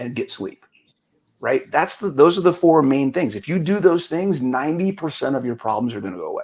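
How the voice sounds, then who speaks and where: The loudness swings widely and the intonation is lively. Vocal fry runs through the voice. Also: man, fairly high pitch for a man, fairly quick pace. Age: 50s. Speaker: fitness coach. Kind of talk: casual interview chat.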